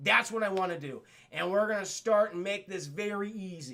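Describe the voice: A man uses a put-on character voice with a high pitch, a bright, sharp tone and vocal fry. His pitch variation is ordinary and his pace is moderate.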